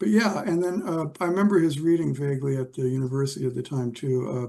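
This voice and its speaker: A man speaks with a West Coast US accent. He has a dark, mellow tone. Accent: General American, West Coast. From California, Los Angeles. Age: 70s. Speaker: literature scholar. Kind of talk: interview conversation. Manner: halting, many fillers.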